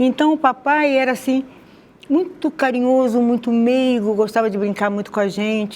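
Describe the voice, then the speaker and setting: Her pitch shows ordinary variation. The woman talks with a high pitch. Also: moderate pace. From Rio de Janeiro, Brazil (Madureira). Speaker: conversion testimony guest. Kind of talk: testimony interview.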